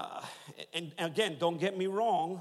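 Animated in tone, a man speaks with a high pitch and ordinary pitch variation. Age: 40s. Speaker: pastor. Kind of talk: sermon. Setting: church.

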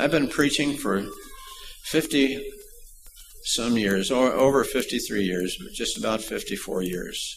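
A man's fairly slow speech with vocal fry, ordinary pitch variation and audible room echo. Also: medium pitch for a man.

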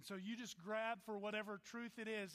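In a raised, projected voice, a man with an American accent and a bright, sharp tone speaks at a moderate pace. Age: 40s. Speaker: pastor. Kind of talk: sermon.

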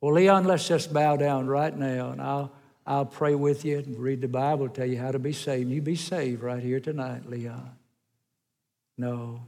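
With a Southern US accent, a man speaks at a moderate pace and a fairly high pitch. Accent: US South. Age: old. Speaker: evangelist. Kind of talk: sermon. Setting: church.

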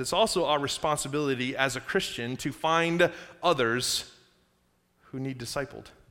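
At a fairly quick pace, a man with a fairly high, bright, sharp voice and ordinary pitch variation comes through a very clean recording with a silent background. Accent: American. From Upstate New York, then South Carolina from age 15. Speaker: pastor. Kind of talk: sermon. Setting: church. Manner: conversational, audience-engaging.

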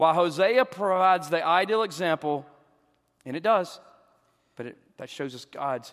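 In a Southern US accent, a man with a fairly high voice swings very widely in pitch and greatly in loudness, with long, frequent pauses. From US South. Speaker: pastor and counselor. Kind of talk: church Q and A discussion. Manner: fast talker.

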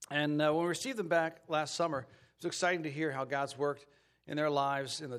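With a fairly high pitch and ordinary variation in it, a man speaks very fast. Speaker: church pastor introducing candidate. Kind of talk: church announcement and introduction. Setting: church.

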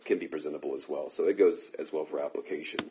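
The pace is fairly quick, and noticeable background noise runs through the clip. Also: man. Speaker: pastor teaching a preaching class. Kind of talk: lecture. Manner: fast.

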